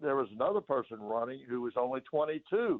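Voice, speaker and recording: In an East Tennessee accent, a man talks at a moderate pace. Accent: East Tennessee Southern American. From US South, Knoxville, Tennessee. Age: 70s. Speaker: former ambassador and politician. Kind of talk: radio interview. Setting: radio studio. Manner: halting, frequent fillers and repeated words.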